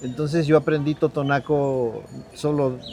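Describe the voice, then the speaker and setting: A man is talking. His intonation is fairly even. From Mexico, Sierra Norte de Puebla. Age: 60s. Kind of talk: interview testimony. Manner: halting, with fillers.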